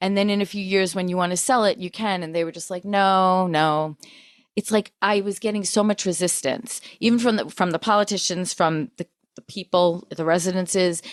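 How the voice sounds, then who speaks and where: An ordinary speaking voice from a woman with an American accent, medium in pitch with fairly even intonation, moderate in pace with big swings in loudness, on a very clean recording with a silent background and a dry, close sound with no echo. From Long Island, New York. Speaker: podcast host. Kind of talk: casual chat.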